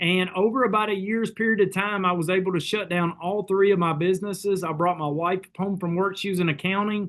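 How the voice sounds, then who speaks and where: A high-pitched man with a Southern US accent, at a fairly quick pace with hardly any pauses and fairly even intonation. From Kentucky. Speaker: network marketing leader. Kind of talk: sales pitch.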